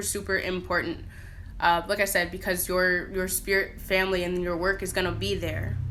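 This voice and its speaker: A woman's medium-pitched voice in an American accent, bright and sharp in tone with vocal fry, plus audible room echo. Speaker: spiritual practitioner vlogger. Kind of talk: casual talk to camera. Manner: fast; informal, many fillers.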